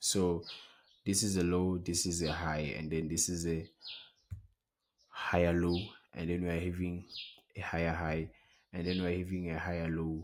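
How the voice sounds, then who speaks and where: Very deep and low, a man's voice stays monotone and flat, broken by long, frequent pauses. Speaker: trading educator. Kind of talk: tutorial. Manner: fast.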